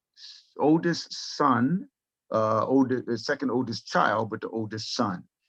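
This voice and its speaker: Moderately paced male speech in a dry, close sound free of echo. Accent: American. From South Florida, US. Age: 60s. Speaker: guest sharing life story. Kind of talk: interview testimony. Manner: halting, many fillers.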